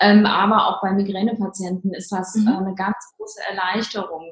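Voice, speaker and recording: A woman at a moderate pace, her intonation fairly even, with noticeable background noise. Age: 30s. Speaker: neurologist and ayurveda practitioner. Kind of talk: interview. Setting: remote call. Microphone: poor audio quality.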